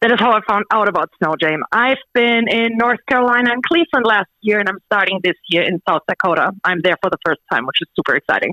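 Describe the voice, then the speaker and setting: Words come at a very fast pace with hardly any pauses, in a German accent. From Germany. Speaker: stand-up comedian. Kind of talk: radio interview.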